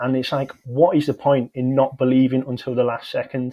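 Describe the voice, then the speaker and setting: This man has a Yorkshire accent and a medium pitch. He talks at a fairly quick pace in a monotone, flat delivery. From northern England, Halifax. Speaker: football fan who walked to a match. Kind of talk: interview. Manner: monotone when nervous.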